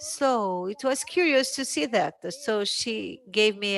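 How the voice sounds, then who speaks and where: On a very clean recording with a silent background, a woman speaks with a Portuguese accent. Her pitch is medium, her pitch variation ordinary, and her pace fairly slow. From Brazil. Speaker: journalist. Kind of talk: panel discussion. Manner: hesitant, many fillers.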